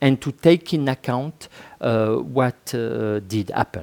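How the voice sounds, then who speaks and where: A man speaks with a French accent at a fairly slow pace, his tone dark and mellow and the sound dry and close with no echo. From France. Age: 50s. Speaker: author and sociologist. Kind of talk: interview. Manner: halting.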